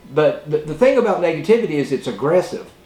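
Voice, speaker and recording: High in pitch, a man speaks with lively intonation. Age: old. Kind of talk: casual talk to camera. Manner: hesitant, rambling.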